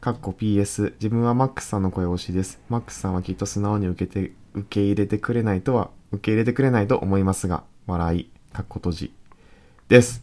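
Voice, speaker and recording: A man speaks in a Kansai accent, his tone dark and mellow at fairly low pitch. The recording is very clean with a silent background. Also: ordinary pitch variation. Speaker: podcast co-host. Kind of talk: casual chat. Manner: reads listener letters aloud.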